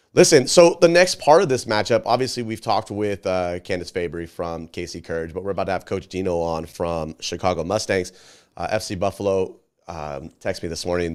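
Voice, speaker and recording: A man talks very fast in a very deep, low pitch with vocal fry and ordinary pitch variation. The recording is very clean, with a silent background. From Scotland. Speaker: soccer show host. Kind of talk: casual chat.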